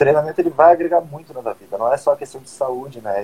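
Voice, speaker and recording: A man speaks at a very fast pace in a medium-pitched voice. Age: 20s. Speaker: podcast host and personal trainer. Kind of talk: casual chat. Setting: live stream on Instagram.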